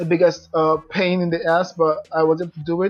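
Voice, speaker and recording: The speaker has a non-native accent and talks at a moderate pace. The intonation is monotone and flat, with music in the background. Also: man. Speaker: affiliate marketer. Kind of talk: casual talk to camera. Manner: hesitant, many fillers.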